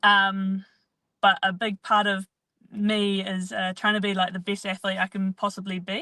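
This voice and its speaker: In a New Zealand accent, a bright, sharp voice speaks with monotone, flat intonation, in a dry, close sound with no echo and a quiet background. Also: woman, medium pitch for a woman, moderate pace. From New Zealand, rural Canterbury. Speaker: professional athlete. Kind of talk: interview.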